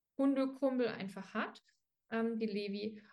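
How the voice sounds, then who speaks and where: Fairly even intonation in a somewhat breathy voice. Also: woman. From Dresden, Saxony. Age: 20s. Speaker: dog trainer, former dog walker. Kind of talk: casual interview. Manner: hesitant, many fillers.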